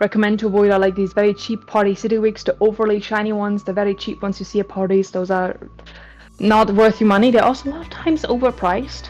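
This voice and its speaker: A woman speaks at a very fast pace with medium pitch and fairly even intonation. Music plays in the background. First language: German. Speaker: cosplay wig styling instructor. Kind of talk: workshop tutorial. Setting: live stream. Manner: casual, hesitant with fillers.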